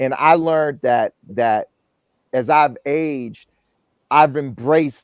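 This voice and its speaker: On a very clean recording with a silent background, a man with an ordinary speaking voice talks at a fairly slow pace with ordinary pitch variation, the sound dry and close with no echo. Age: 60s. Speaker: guest on dating talk show. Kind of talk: panel discussion.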